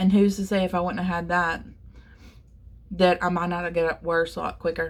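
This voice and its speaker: At a moderate pace, a woman speaks in a somewhat breathy voice of medium pitch. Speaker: covid survivor telling personal story. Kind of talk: personal testimony vlog. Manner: rambling, conversational with fillers.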